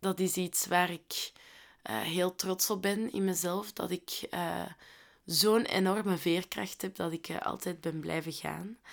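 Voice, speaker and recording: In a very clean recording with a silent background, a woman speaks with a Flemish accent at medium pitch. Her pace is very slow and her intonation fairly even. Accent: Flemish Dutch. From Flanders, Belgium (Londerzeel). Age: 20s. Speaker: podcast host, social worker. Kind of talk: casual solo podcast monologue. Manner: chatty, talkative.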